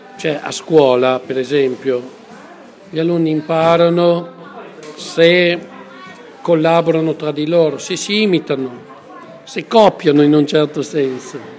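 Over crowd noise in the background and audible room echo, a man speaks at a fairly slow pace with fairly high pitch. His pitch varies in an ordinary way, and he takes long, frequent pauses. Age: 60s. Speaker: pedagogist. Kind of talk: interview. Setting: café.

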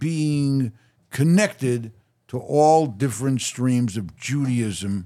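The voice has a dark, mellow tone and lively intonation at a very slow pace. The recording is very clean, with a silent background. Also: man. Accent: American. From Chicago, Illinois. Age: 70s. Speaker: businessman and philanthropist. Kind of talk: interview.

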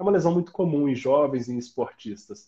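Breathy to some degree, a man's fairly high voice has a dark, mellow tone, ordinary pitch variation and a moderate pace. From southern Minas Gerais, Brazil (Itajubá). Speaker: orthopedic doctor. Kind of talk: interview.

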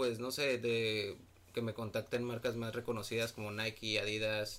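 A man with a plain, everyday voice speaks at a medium pitch and a fairly slow pace. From Mexico, Monterrey, Nuevo León. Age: 20s. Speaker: photographer. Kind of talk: casual chat.

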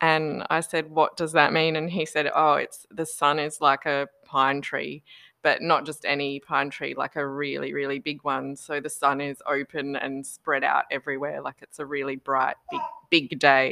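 With an Australian accent, a woman talks at a moderate pace in a very deep, low pitch and a monotone, flat intonation. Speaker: podcast guest. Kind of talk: casual chat. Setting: video call.

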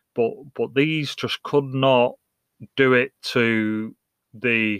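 A man with an English accent, at a medium pitch for a man, with fairly even intonation and a dry, close sound with no echo. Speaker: podcast host and soccer coach. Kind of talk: casual solo podcast monologue. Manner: hesitant, many fillers and repetitions.

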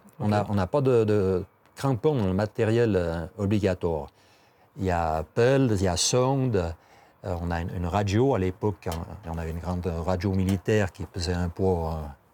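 A man speaks with a very deep, low pitch and a dark, mellow tone, his pitch varying in an ordinary way. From Switzerland, Valais (Val de Bagnes). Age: 60s. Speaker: tourism office employee and ski mountaineer. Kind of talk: interview. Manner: halting, many repetitions and hesitations.

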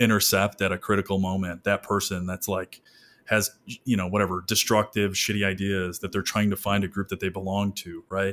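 A man with an American accent talks at a very fast pace in a fairly low pitch. The recording is very clean, with a silent background. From Michigan. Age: 30s. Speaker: psychotherapist. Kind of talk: casual chat.

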